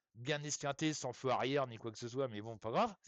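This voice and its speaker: A man with a fairly high pitch. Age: 60s. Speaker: medium. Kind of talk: live stream chat. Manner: hesitant, many fillers; casual, colloquial.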